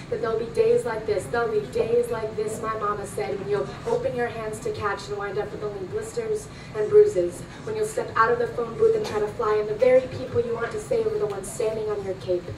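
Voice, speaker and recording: Noticeable background noise runs under this recording. A woman speaks at a fairly quick pace. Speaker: spoken word poet. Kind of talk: spoken word poetry performance. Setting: live performance at a club.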